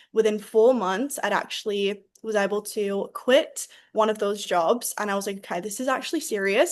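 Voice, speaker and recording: At a moderate pace, a woman speaks with a fairly high pitch and ordinary pitch variation against a quiet background. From England. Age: 20s. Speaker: network marketing regional vice president. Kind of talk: sales pitch with personal testimony.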